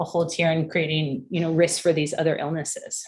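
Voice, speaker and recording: A woman is speaking. Her pace is fairly quick. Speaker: public health presenter. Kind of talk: presentation at public commission meeting. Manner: fast; hesitant, many fillers.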